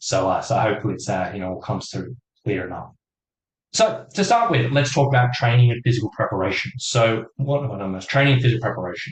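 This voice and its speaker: Somewhat breathy, a man speaks at a very fast pace. His loudness swings widely. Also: medium pitch for a man, ordinary pitch variation. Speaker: hiking fitness coach. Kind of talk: webinar presentation.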